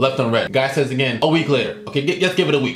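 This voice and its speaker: Over noticeable background noise and audible room echo, a man speaks in an animated tone at a very fast pace, his fairly high pitch showing ordinary variation. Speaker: YouTuber. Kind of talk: vlog rant. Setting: bedroom. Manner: loud.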